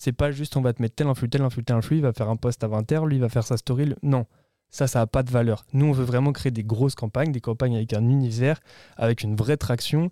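The voice has a dark, mellow tone and moves at a very fast pace with fairly even intonation and very even loudness, in a very clean recording with a silent background and a dry, close sound with no echo. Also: man, medium pitch for a man. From France, Yvelines (Paris region). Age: 20s. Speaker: agency founder. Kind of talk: interview. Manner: casual, hesitant with fillers.

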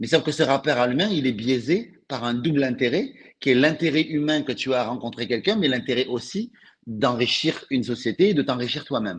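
A man of medium pitch with a southern French accent, over a quiet background. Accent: French, Toulouse southern. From Toulouse, southern France. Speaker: author and sales coach. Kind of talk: casual interview chat. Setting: live stream.

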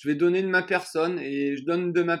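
A man with a high voice speaks fairly slowly and keeps his intonation fairly even. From southern France, Vaucluse near Avignon. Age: 30s. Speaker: trail runner. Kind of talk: interview.

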